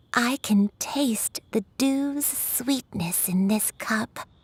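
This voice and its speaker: In a put-on character voice, a woman speaks at a very slow pace with a calm, gentle tone and lively intonation. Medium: video game.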